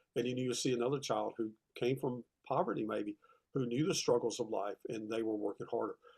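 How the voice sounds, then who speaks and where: A man with a Southern US accent talks at a very fast pace in a medium pitch, his intonation fairly even and the sound dry and close with no echo. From US South, South Carolina (Rock Hill). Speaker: retired teacher and author. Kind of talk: interview conversation. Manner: halting, with fillers and repeats.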